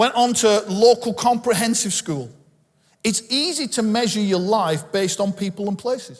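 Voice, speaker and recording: Speaking at a fairly slow pace, the man has a high pitch. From northern England, Bolton. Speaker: pastor. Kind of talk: sermon.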